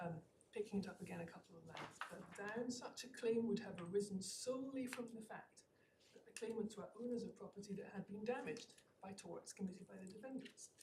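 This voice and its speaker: In a Scottish accent, a woman talks very fast with a dark, mellow, somewhat breathy tone and fairly even intonation. Her loudness swings widely, and room echo is audible. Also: medium pitch for a woman. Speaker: barrister. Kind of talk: legal argument in court. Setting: courtroom. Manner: formal; frequent fillers and hesitations.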